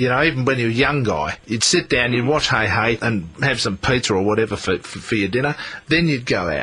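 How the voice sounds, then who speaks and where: A man with an Australian accent speaks at a medium pitch and a fairly quick pace. His intonation is lively against noticeable background noise. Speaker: talkback radio presenter. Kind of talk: talkback radio conversation.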